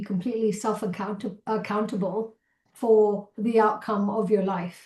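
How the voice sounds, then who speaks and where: She speaks with a Malaysian accent at a moderate pace. The woman's voice is fairly high and somewhat breathy. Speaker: keynote speaker, entrepreneur. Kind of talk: interview conversation.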